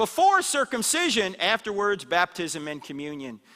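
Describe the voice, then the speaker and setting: A man's high, raised and projected voice with an animated tone and an American accent. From US Northeast, New Jersey. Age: 60s. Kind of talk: apologetics talk to church audience. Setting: church hall with live audience.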